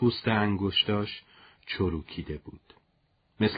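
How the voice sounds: What we hear is a natural reading voice.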